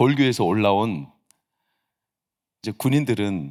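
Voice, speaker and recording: A man speaks in an animated tone with vocal fry. The recording is very clean, with a silent background. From South Jeolla, South Korea (Mokpo). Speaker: pastor. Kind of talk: sermon. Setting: church service. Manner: animated, conversational.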